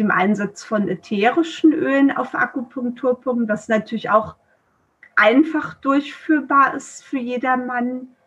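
A woman speaking at a fairly slow pace. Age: 40s. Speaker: traditional Chinese medicine practitioner. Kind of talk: interview. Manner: hesitant, many filler sounds.

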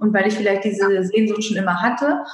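A woman talks in a medium pitch. Audible room echo surrounds her voice. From Mecklenburg-Vorpommern, northeastern Germany. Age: 30s. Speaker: life coach. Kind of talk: casual interview.

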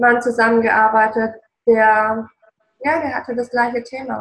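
A woman talks at a moderate pace with a fairly high pitch. Her intonation is flat and monotone. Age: 40s. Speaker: relationship coach. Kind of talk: casual interview. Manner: passionate, emotional.

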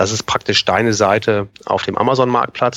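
A man's medium-pitched voice at a moderate pace, with fairly even intonation over noticeable background noise. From northern Germany, near Kiel. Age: 40s. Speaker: Amazon seller consultant. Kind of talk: podcast interview.

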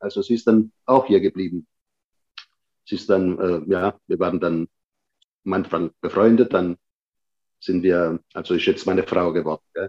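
A man speaks with a very deep, low pitch. His pace is fairly slow, broken by long, frequent pauses. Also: ordinary pitch variation. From Sicily (Patti), moved to Germany at seven. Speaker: restaurant owner. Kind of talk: casual interview. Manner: halting, many fillers.

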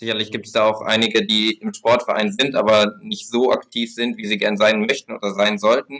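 The speech moves at a moderate pace in a monotone, flat intonation with hardly any pauses. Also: man, medium pitch for a man. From Lower Saxony, Germany (Braunschweig). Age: 20s. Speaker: sports policy spokesperson for a political party. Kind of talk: podcast interview.

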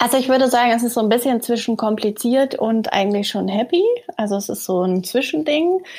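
Noticeable background noise sits behind a woman with a high pitch. She talks at a fairly quick pace with lively intonation. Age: 30s. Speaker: surgeon. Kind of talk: interview.

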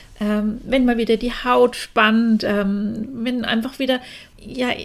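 A woman with a Franconian accent speaks at a high pitch and a fairly slow pace. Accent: Franconian dialect, rolled R. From Franconia, Germany. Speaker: cosmetician and podcast host. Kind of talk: podcast monologue.

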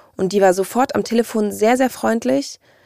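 The tone is dark and mellow, delivered at a moderate pace, and the sound is dry and close with no echo. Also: woman. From Hamburg, northern Germany. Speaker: podcast guest. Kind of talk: personal storytelling interview.

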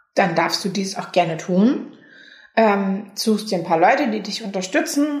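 Amid noticeable background noise and audible room echo, a woman of medium pitch speaks at a fairly slow pace. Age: 20s. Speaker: patient volunteer in a self-help association. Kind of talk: interview.

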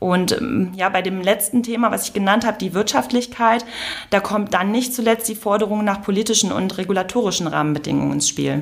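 At a fairly quick pace, a woman speaks with a medium pitch and ordinary pitch variation over noticeable background noise. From northern Germany, Lower Saxony (Emsland). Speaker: mechanical engineer, energy initiative representative. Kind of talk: interview. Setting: live recording.

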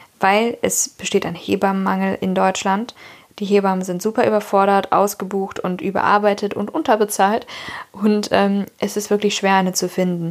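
Over noticeable background noise, a woman speaks at a moderate pace with a medium pitch and fairly even intonation. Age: 20s. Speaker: podcast host, new mother. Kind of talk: casual chat. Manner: hesitant, many fillers.

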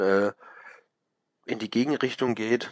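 A man with a Baden accent speaks at a moderate pace with a medium pitch and fairly even intonation. The background is quiet, and the sound is dry and close with no echo. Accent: regional dialect (Baden). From Baden, southwest Germany. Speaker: bartender. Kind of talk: interview.

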